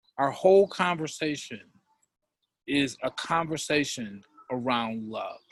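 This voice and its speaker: The man's voice sits at a fairly high pitch. His intonation is lively. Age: 60s. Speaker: co-host of a talk show on love. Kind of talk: live online talk show. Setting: live video call.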